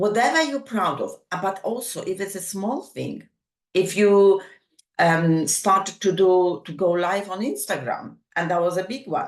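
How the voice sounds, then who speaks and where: A woman with a non-native accent, medium pitch, lively intonation and a fairly slow pace. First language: not English. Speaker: summit host and speaker. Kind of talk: motivational talk. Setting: online summit.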